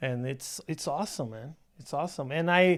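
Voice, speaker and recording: With a Brazilian Portuguese accent, a man speaks in a fairly high pitch with lively intonation, in a very clean recording against a silent background. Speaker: stand-up comedian. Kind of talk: casual chat. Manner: halting.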